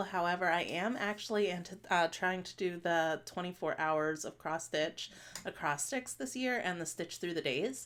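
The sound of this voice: A woman's fairly low voice with ordinary pitch variation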